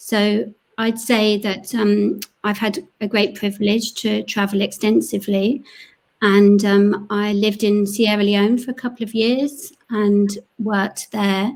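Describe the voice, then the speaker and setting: Speaking with a London accent, a woman keeps a fairly slow pace. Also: medium pitch for a woman, fairly even intonation. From North London, England. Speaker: panelist, education charity worker. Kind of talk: panel discussion.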